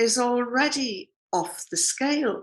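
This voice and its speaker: A woman speaks in a British accent. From Britain. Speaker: journalist. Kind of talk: political commentary. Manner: casual, humorous.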